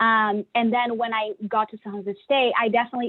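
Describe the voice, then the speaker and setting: A woman is speaking. She has a Brazilian accent. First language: Portuguese. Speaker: engineer. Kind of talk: panel discussion. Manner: animated.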